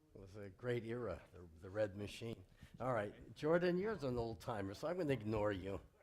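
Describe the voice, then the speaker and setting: Someone with an American accent talks at a fairly quick pace with lively intonation and big swings in loudness, with audible room echo around the voice. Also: man, medium pitch for a man. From US West Coast, Los Angeles. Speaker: rabbi leading a service. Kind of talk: warm informal welcome during a worship service. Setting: synagogue sanctuary with congregation, livestreamed.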